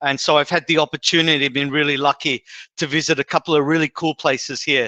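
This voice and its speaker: Against a quiet background, a man with an Australian accent speaks very fast at a fairly high pitch in a monotone, flat intonation, with very even loudness, a bright, sharp tone and a dry, close sound with no echo. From Australia, Sydney. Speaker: HR executive, guest speaker. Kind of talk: presentation. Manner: many fillers and hesitations.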